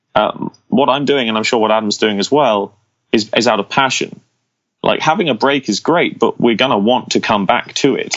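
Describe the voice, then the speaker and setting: Speaking at a moderate pace, a man with an English accent uses a medium pitch and ordinary pitch variation. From England, small village. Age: 20s. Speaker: fingerstyle guitarist. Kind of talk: podcast interview. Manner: animated.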